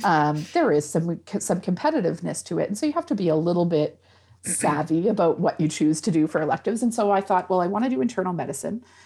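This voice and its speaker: Speaking very fast with lively intonation, a woman with a Nova Scotian accent uses a fairly low, dark, mellow voice at very even loudness. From rural Antigonish County, Nova Scotia. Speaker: rheumatologist and medical professor. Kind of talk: explanatory interview.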